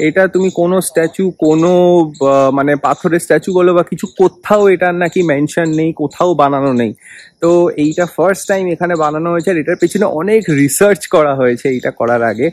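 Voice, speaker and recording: This man's voice sits high in pitch, with ordinary variation in his intonation. The sound is dry, with no echo at all. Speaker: travel vlogger. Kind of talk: casual vlog chat. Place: garden. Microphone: phone near.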